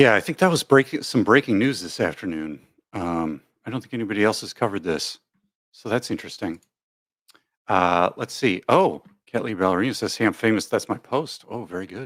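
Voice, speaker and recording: Fairly low in pitch and with an American accent, a man speaks in an unremarkable speaking voice at a fairly quick pace. His intonation is lively, and his loudness swings widely. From US Upper Midwest, Madison, Wisconsin. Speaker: YouTube live streamer. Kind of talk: casual live stream chat. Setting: live stream, chat reading. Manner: casual, rambling, thinking aloud.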